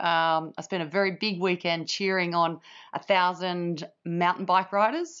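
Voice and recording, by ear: Someone shouts hoarsely at a fairly slow pace with fairly even intonation. The tone is clear, smooth and fairly bright. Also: woman, fairly low pitch for a woman.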